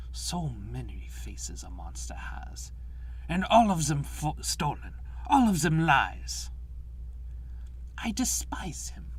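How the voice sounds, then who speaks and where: The man puts on a character voice and speaks fairly slowly, leaving long, frequent pauses. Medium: dub.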